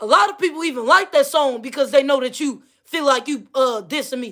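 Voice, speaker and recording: Someone with a Missouri accent speaks at a moderate pace on a very clean recording with a silent background. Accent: Missouri-tinged regional. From Missouri / Midwest. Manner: accusatory, heated.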